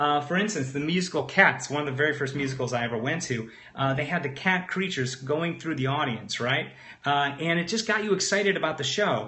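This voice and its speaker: A man's fairly high, animated voice at a fairly quick pace, ordinary pitch variation and audible room echo. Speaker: webinar trainer / online marketer. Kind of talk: live webinar presentation. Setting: live stream. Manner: fast; animated, conversational with fillers.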